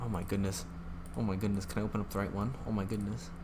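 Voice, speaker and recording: A man's voice carries audible room echo. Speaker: gaming streamer. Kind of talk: live stream chat. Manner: flustered, rambling.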